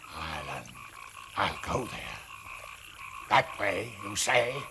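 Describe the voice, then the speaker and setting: A man puts on a character voice over clear background noise. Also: medium pitch for a man, fairly slow pace. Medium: short film. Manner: halting, wondering.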